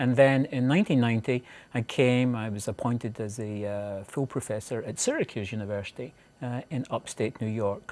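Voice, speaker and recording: On a very clean recording with a silent background, a man speaks with a Scottish accent. His pitch is medium and his pace moderate. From Scotland (central). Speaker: professor. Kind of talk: interview. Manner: halting.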